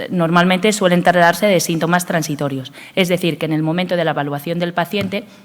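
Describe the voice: Talking at a fairly quick pace, a woman uses a fairly low pitch with ordinary pitch variation. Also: few pauses.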